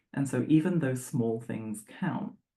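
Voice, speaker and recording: In an English accent, a woman speaks fairly slowly with a very deep, low pitch, a dark, mellow tone and vocal fry. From England. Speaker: sports psychologist. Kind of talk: presentation. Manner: conversational with filler words.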